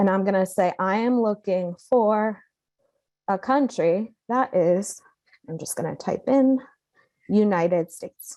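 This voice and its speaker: Her tone dark and mellow, a woman at medium pitch speaks at a fairly slow pace with long, frequent pauses. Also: ordinary pitch variation. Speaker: software trainer. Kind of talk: tutorial.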